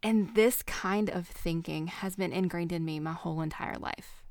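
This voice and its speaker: A woman with a Southern US accent speaks at a moderate pace, with fairly low pitch and ordinary pitch variation. The recording is very clean, with a silent background. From US South. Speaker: podcast host. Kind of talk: casual chat.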